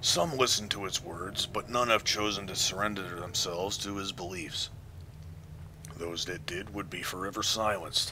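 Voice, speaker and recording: A man does a put-on character voice, fairly low and resonant, at a moderate pace. Clear background noise can be heard. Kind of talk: archaic, formal speech. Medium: game stream. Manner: solemn, slow and grave.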